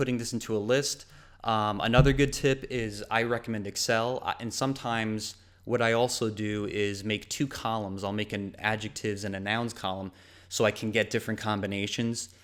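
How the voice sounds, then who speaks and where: The voice belongs to a man at a medium pitch. His intonation stays fairly even. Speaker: online advertising specialist. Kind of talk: webinar tutorial. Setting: online webinar. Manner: fast; casual, hesitant with fillers.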